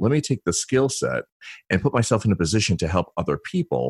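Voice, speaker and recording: Against a silent background in a very clean recording, a man's voice shows vocal fry and very wide pitch swings. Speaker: consultant, former federal officer. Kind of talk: interview.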